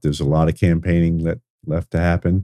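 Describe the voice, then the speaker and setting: A man's very deep, low voice with a dark, mellow tone and an American accent, dry and close with no echo. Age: 60s. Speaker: school superintendent and political candidate. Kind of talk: interview.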